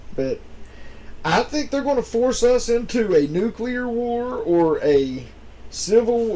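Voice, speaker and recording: A man with an American accent, lively intonation, and a dark, mellow tone. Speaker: podcast co-host. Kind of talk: casual chat.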